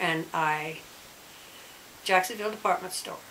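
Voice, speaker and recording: A woman at a moderate pace with ordinary pitch variation, against noticeable background noise. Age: 70s. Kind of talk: interview answer. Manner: casual, conversational.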